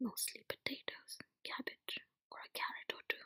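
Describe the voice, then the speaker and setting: Someone whispers at a moderate pace. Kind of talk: sleep story narration. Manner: whispered, soft-spoken.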